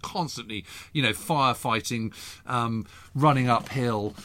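With an English accent, a man talks at medium pitch and a moderate pace with ordinary pitch variation on a very clean recording with a silent background. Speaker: historian, podcast co-host. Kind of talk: casual chat.

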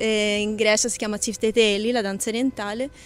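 A woman is speaking. Her voice is fairly high. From Tuscany, Italy. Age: young. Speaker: botanist. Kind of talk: interview. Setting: outdoors.

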